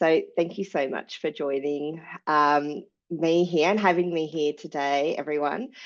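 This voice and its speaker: A woman's very deep, low voice with an Australian accent, fairly slow and fairly even in intonation, over a quiet background. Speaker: sustainability manager. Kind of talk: webinar presentation.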